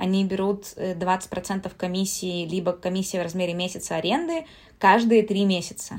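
A woman talks in a normal speaking voice at medium pitch. Her pace is moderate and her intonation fairly even. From Siberia, Russia. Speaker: traveler and writer. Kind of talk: casual chat.

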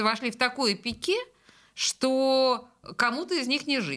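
A woman speaks with an ordinary speaking voice and a fairly high pitch. Her pitch variation is ordinary, and the recording is very clean with a silent background. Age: 50s. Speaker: radio host. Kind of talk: casual chat. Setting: studio.

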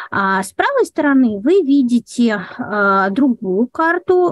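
A woman speaks at a high pitch with very wide pitch swings. The sound is dry and close, with no echo. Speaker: guide for visually impaired tourists. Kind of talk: webinar lecture. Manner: structured, measured.

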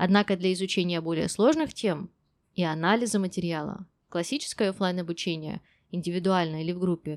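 In a very clean recording with a silent background, a woman with an ordinary speaking voice talks at a fairly quick pace in a medium pitch, with ordinary pitch variation. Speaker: English teacher podcast host. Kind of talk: monologue.

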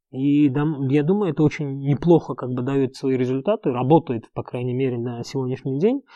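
A man talks at a fairly quick pace, his voice fairly high in pitch with a dark, mellow tone and ordinary pitch variation. The sound is dry and close with no echo, over a quiet background. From Uzbekistan. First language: Uzbek (speaking Russian). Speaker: entrepreneur. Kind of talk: interview.

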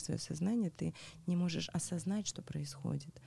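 Somewhat breathy, the voice carries a dark, mellow tone. It moves at a fairly quick pace. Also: woman. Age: 40s. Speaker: tantra practitioner. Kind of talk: interview.

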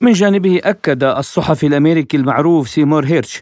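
In a dry, close sound with no echo and a quiet background, a man with a fairly high pitch uses a normal speaking voice, a moderate pace and ordinary pitch variation. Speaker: radio news host. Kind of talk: news reading. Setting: studio.

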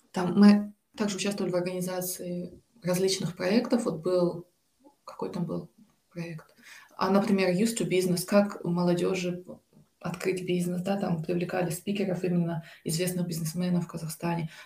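A woman's medium-pitched voice in a monotone, flat delivery, at a moderate pace with long, frequent pauses. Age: 20s. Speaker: graduate student and volunteer. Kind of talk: interview.

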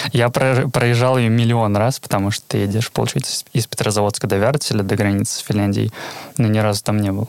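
A man's fairly low, fairly even voice at a fairly quick pace, very even in loudness, with a dry, close sound with no echo and noticeable background noise. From Karelia, Petrozavodsk. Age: 20s. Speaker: QA tester. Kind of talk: casual interview chat.

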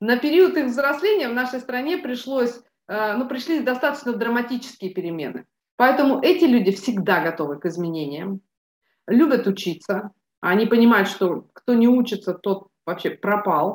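Very wide swings in pitch from a woman whose voice sits fairly high. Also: moderate pace. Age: 50s. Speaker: business mentor. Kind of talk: interview. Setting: studio.

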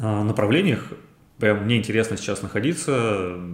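A man speaks at a fairly slow pace. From Ryazan region, Russia. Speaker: interior designer. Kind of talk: interview.

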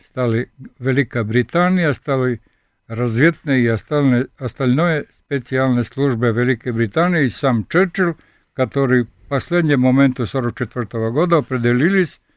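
A man talks at a medium pitch with a Serbian accent. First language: Serbian (speaking Russian). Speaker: sculptor and professor. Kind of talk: radio interview. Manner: halting.

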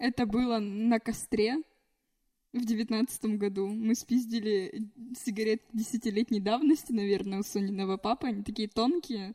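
A woman's fairly high, somewhat breathy voice with a dark, mellow tone, fairly even intonation and moderate pace, in a dry, close sound with no echo. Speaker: podcast guest. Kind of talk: casual chat.

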